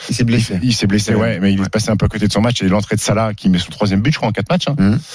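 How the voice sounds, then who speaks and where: This man's pitch is fairly low, with ordinary variation. Noticeable background noise sits behind him. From France, Haute-Savoie (Annecy). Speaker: sports radio host. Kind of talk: sports debate show. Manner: animated.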